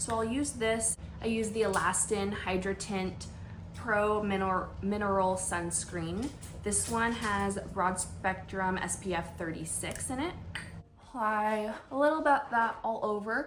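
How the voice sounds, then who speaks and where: Audible room echo surrounds a fairly slow delivery in an American accent. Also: woman, medium pitch for a woman, ordinary pitch variation. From US Pacific Northwest, Washington State. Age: 20s. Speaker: nurse and beauty vlogger. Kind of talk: casual chat during makeup tutorial. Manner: casual, conversational with fillers.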